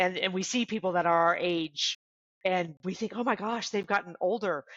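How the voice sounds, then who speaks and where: A woman speaks at a moderate pace with medium pitch and ordinary pitch variation, in an ordinary speaking voice. The background is quiet, and the sound is dry and close with no echo. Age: 50s. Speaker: podcast guest. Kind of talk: casual chat.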